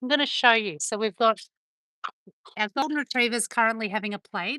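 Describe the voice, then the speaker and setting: A woman's fairly high voice has a bright, sharp tone and ordinary pitch variation. The sound is dry and close with no echo, over a quiet background. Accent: Australian. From Australia. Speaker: dog owner live streamer. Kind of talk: casual live stream chat. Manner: chatty.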